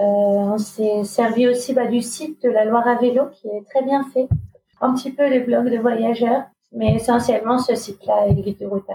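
A woman's ordinary speaking voice, fairly high in pitch, at a moderate pace with fairly even intonation. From Normandy, France. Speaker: refugee protection worker and bike traveller. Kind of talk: casual interview.

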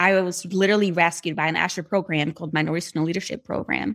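Speaking at a fairly quick pace with a Brazilian accent, a woman of medium pitch shows ordinary pitch variation on a very clean recording with a silent background. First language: Portuguese. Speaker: speech-language pathologist and therapy app creator. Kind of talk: podcast interview.

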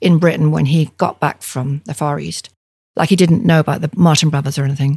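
A woman's somewhat breathy voice, dark and mellow in tone, at a fairly quick pace. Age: 70s. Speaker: ceramic artist. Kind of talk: interview.

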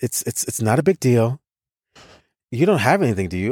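In an American accent, a man talks at a fairly quick pace. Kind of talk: casual conversation.

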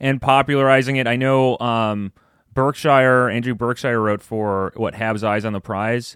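A man at medium pitch with fairly even intonation, dry and close with no echo, in a very clean recording over a silent background. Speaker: podcast co-host, hockey analyst. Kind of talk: casual chat. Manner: fast talker.

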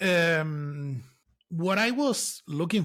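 A man talks in a bright, sharp tone with a Spanish accent. The recording is very clean, with a silent background. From Canary Islands, Spain (Lanzarote). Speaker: software engineer. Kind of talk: casual interview. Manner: halting, many fillers and restarts.

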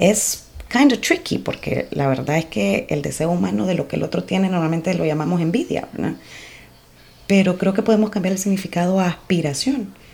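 Using lively intonation at a fairly quick pace, a woman with an unremarkable speaking voice speaks at a fairly low pitch. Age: 40s. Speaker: podcast host. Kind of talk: personal reflection monologue.

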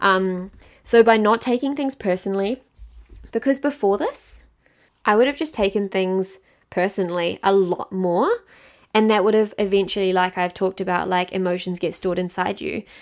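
Speaking at a moderate pace with a New Zealand accent, a woman keeps a medium pitch with ordinary pitch variation. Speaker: podcast host and mindset coach. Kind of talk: solo podcast monologue. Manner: casual, conversational.

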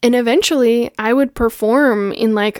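A woman with an unremarkable speaking voice talks at a fairly slow pace, her fairly high pitch carried by fairly even intonation, in a dry, close sound with no echo on a very clean recording with a silent background. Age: 30s. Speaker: podcast host and spirituality teacher. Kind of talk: personal monologue. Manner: casual, frequent laughter.

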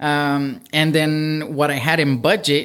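A man's plain, everyday voice, fairly high in pitch with fairly even intonation, on a very clean recording with a silent background. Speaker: real estate investor and software engineer. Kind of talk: casual podcast interview. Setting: studio.

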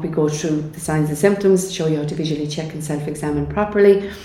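A woman talks at a fairly quick pace. The room echo is audible, and background noise is noticeable. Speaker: cancer charity speaker. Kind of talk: interview. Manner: animated.

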